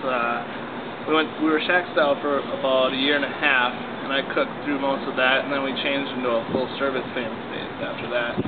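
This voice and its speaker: A man talks at a fairly quick pace. Loud background noise surrounds him. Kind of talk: interview answer.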